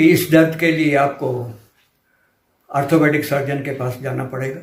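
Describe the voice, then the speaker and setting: A man speaks at a fairly high pitch in a somewhat breathy voice. His intonation is flat and monotone, and audible room echo is present. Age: 70s. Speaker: patient giving a testimonial. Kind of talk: testimony.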